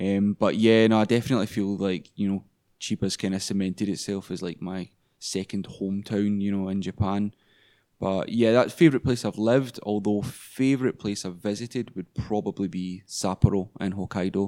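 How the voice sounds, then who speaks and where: A man with a Glaswegian accent speaks at a fairly low pitch in a dark, mellow tone with fairly even intonation, the sound dry and close with no echo. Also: moderate pace. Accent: Glaswegian Scottish. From Scotland, Glasgow. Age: 20s. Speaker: English teacher. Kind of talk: casual chat.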